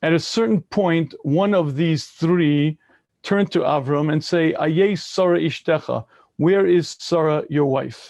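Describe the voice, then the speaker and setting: With an American accent, a man talks at a fairly slow pace in an unremarkable speaking voice, his pitch fairly high and its variation ordinary. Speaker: rabbi. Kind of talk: lecture.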